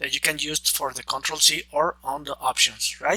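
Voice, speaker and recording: A man speaks with a non-native accent. The sound is dry and close with no echo, though noticeable background noise is present. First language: Spanish. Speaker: software trainer. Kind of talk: tutorial. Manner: halting, many fillers and restarts.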